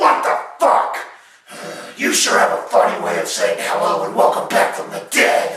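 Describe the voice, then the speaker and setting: Using a put-on character voice, a man speaks at a moderate pace with a slight echo. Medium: audio drama.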